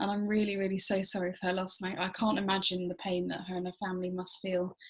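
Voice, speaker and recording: With an English accent, a woman speaks at a medium pitch in a somewhat breathy, monotone, flat voice. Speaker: interviewer. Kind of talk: interview.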